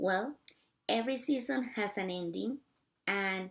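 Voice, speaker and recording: This speaker has a non-native accent, a fairly slow pace and ordinary pitch variation. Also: woman. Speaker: missionary teacher. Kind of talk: casual talk to camera.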